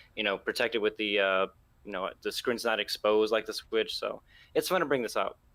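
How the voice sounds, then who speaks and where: On a very clean recording with a silent background, a man speaks. His pace is fairly quick. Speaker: gaming enthusiast guest. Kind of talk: casual chat. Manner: hesitant, many fillers.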